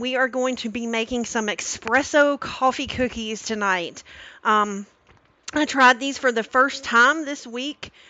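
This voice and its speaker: In a dry recording with no echo, a woman speaks at a high pitch with ordinary pitch variation. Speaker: cooking streamer. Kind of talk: live stream cooking tutorial. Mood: warm, cheerful. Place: kitchen.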